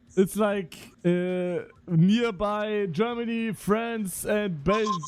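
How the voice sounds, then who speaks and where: A high-pitched man at a very slow pace, ordinary pitch variation, and noticeable background noise. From Luxembourg. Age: 20s. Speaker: streamer. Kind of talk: casual chat. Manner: halting.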